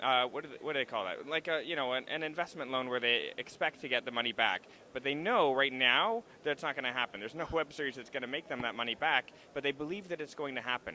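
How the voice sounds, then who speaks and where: A man talks at a very fast pace. He has a slight Canadian accent. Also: fairly high pitch for a man, ordinary pitch variation. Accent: Canadian, slight (slips on 'about'). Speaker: actor and web series creator. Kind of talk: interview at a live event. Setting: stage at a trade show, live stream.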